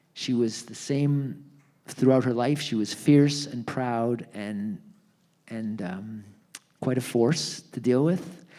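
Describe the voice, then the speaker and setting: Very slow male speech in a Canadian accent, medium in pitch and dark and mellow in tone, with ordinary pitch variation, big swings in loudness and audible room echo. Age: 70s. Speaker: retired lawyer and author. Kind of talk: onstage conversation at a book launch. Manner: halting, many fillers and restarts.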